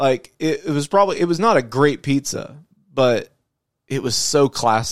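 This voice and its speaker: Here is a man with a normal speaking voice and fairly high pitch. He talks at a moderate pace with lively intonation. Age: 30s. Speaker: podcast host. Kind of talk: casual chat. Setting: studio.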